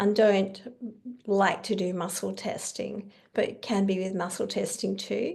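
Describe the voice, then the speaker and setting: Here a woman speaks with an Australian accent. The background is quiet. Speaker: kinesiologist and educator. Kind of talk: online conference presentation.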